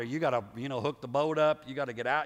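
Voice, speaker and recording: An animated man in a Southern US accent. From US South. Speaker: pastor. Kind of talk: sermon. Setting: church.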